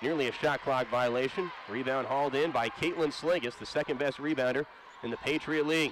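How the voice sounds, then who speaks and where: Over noticeable background noise, a man with an American accent speaks at a fairly high pitch in a dry recording with no echo. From United States. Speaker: sports play-by-play broadcaster. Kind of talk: live sports play-by-play commentary, rapid-fire and studio-broadcast style. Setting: arena broadcast for TV. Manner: polished, upbeat broadcaster cadence. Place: stadium. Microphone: headset.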